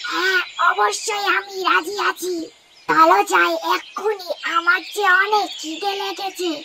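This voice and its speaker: The cartoonish character voice sits at an extremely high pitch and moves at a fairly slow pace. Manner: boastful, self-pitying.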